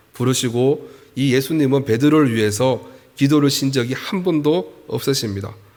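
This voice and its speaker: Audible room echo surrounds a man's voice. He has a medium pitch, ordinary pitch variation and a moderate pace. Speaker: pastor. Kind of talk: sermon.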